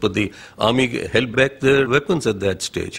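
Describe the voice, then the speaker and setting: A man's medium-pitched voice, somewhat breathy, moves along at a moderate speed. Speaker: army officer. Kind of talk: interview answer.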